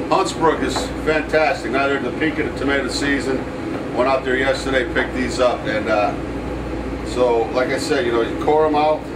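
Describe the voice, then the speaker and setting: A man talks at a fairly quick pace. Loud background noise runs underneath. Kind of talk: cooking tutorial. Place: kitchen.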